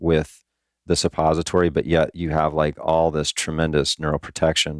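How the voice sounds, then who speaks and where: The man's voice is very deep and low, with monotone, flat intonation at a moderate pace. The very clean recording has a silent background and a dry, close sound with no echo. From Hawaii. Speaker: chiropractic neurologist and naturopath. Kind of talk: interview. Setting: studio.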